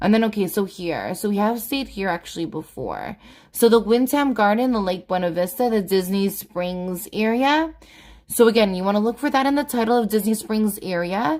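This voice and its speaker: An ordinary speaking voice belongs to a woman talking at a medium pitch and moderate pace, captured on a very clean recording with a silent background. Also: ordinary pitch variation. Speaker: family travel vlogger. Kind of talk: live Q&A stream. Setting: livestream from home.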